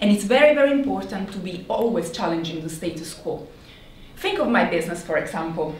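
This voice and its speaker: Amid light background noise and audible room echo, a woman talks at a moderate pace with lively intonation. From Italy. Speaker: marketing executive. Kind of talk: conference talk. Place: hall.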